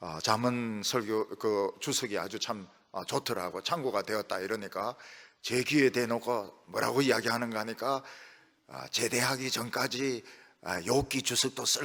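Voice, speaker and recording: Pitch variation is ordinary in this bright, sharp tone. Speech moves at a moderate pace. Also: man. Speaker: pastor. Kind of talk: sermon. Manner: frequent filler sounds.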